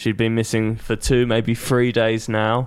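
Here a man speaks with a British accent at a moderate pace. His pitch sits fairly low. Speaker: podcast panelist. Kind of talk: casual banter.

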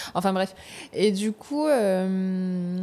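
Captured on a very clean recording with a silent background, a woman speaks in a dark, mellow tone. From New Caledonia, Nouméa. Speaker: actress. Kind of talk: casual interview. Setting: studio. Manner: animated.

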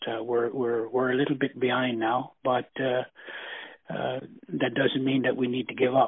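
A man with a Newfoundland accent talks at a medium pitch. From Newfoundland, Flat Bay. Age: 70s. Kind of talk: interview. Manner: halting.

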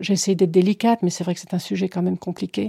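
A woman speaks at a very fast pace. The recording is very clean and silent in the background, with a dry, close sound and no echo. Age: 60s. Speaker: interviewee sharing personal experience. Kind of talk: testimony.

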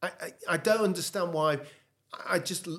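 Using a plain, everyday voice, a man talks at a fairly quick pace. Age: 60s. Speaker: former golf champion. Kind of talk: casual chat.

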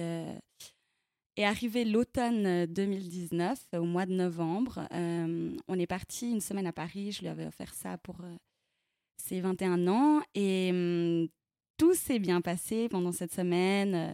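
A woman speaks very slowly in a dark, mellow voice at medium pitch with ordinary pitch variation and long, frequent pauses. The sound is dry and close with no echo, on a very clean recording with a silent background. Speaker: interviewee sharing personal story. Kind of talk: personal testimony. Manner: halting.

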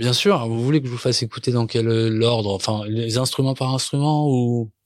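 Here a man speaks at a medium pitch with ordinary pitch variation. His pace is moderate. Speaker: singer-songwriter. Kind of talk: interview about making a song. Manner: halting, many repetitions and fillers.

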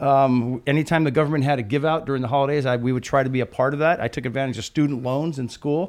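Speaking very fast with hardly any pauses, a man with an American accent has a fairly high pitch and fairly even intonation. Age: 50s. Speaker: retiring police commander. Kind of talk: casual chat.

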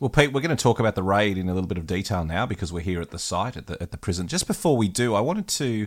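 A man's fairly low voice with an Australian accent, very fast with hardly any pauses and lively intonation, on a very clean recording with a silent background. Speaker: battlefield historian and podcast host. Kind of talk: casual chat. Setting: outdoors.

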